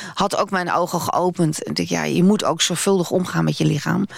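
A woman talks fairly quickly while noticeable noise sounds in the background. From Netherlands. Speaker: radio presenter. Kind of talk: interview.

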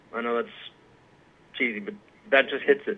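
Lively intonation marks this man's medium-pitched voice. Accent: American. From US South, South Carolina (Aiken). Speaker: pipe maker and music teacher. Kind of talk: interview. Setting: phone call.

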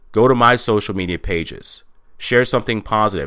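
A medium-pitched man with an American accent, bright and sharp in tone, speaking at a moderate pace. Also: very clean recording, silent background. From Texas. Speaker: podcast host and motivational speaker. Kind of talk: monologue podcast.

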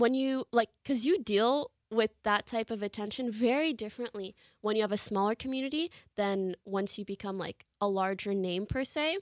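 In a very clean recording with a silent background and a dry, close sound free of echo, a woman talks in an ordinary speaking voice with a fairly high pitch. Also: ordinary pitch variation, moderate pace. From Canada. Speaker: live streamer. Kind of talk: interview.

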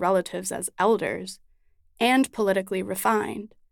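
On a very clean recording with a silent background, a woman speaks in a normal speaking voice at a moderate pace with ordinary pitch variation. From Chicago, US Midwest. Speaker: writer. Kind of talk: narrated essay.

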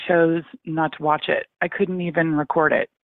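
A woman speaks at a fairly slow pace in a plain, everyday voice. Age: 50s. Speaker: caller. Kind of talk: call-in conversation. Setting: phone call.

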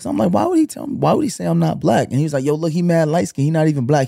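A man's fairly high, dark, mellow voice in a Brooklyn accent, on a very clean recording with a silent background. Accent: New York (Brooklyn). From Brooklyn, New York. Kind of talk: casual chat.

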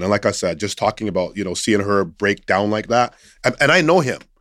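An ordinary speaking voice with a Canadian accent moves at a fairly quick pace with ordinary pitch variation. The recording is very clean with a silent background, and the sound is dry and close with no echo. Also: man. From Canada, Nova Scotian family. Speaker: hockey coach and mentor. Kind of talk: casual interview.

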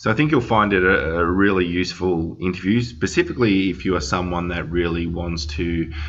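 A man speaks with a very deep, low pitch and fairly even intonation. Noticeable background noise sits behind him. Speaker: podcast host, company CEO. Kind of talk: interview, conversational.

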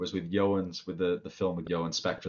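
In a Cardiff accent, a man with a very deep, low pitch speaks with fairly even intonation. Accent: Welsh (Cardiff). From Wales, Cardiff. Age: 30s. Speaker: cartoonist and game designer. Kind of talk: casual chat.

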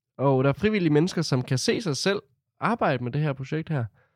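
A man talks at a fairly quick pace with a fairly high pitch. The sound is dry and close, with no echo. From Denmark, Herning (central Jutland). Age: 20s. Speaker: youth centre board member, student. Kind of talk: interview testimony.

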